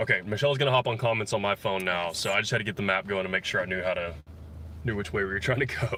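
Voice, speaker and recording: A man's fairly low voice in a bright, sharp tone, with a slight Texas accent and ordinary pitch variation. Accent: slight Texas drawl. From Texas, Dallas area. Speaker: musician vlogger. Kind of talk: casual chat on livestream. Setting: in a car.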